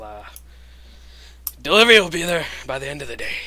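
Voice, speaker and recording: Using a put-on character voice, a man speaks very fast in a raised, projected, raspy voice of fairly high pitch, with ordinary pitch variation and big swings in loudness. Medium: actual play.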